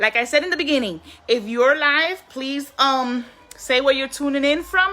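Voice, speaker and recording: Against noticeable background noise, a woman speaks in a raised, projected voice at a moderate pace. Her pitch is high, with ordinary variation. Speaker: online business promoter. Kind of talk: live stream sales pitch. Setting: live stream.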